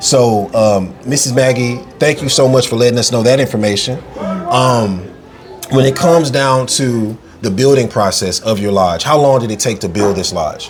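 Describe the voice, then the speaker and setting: The speaker is a man with an American accent and ordinary pitch variation. Noticeable background noise and audible room echo fill the recording. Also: medium pitch for a man, moderate pace. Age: 30s. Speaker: podcast host. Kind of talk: interview. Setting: on location at a lodge.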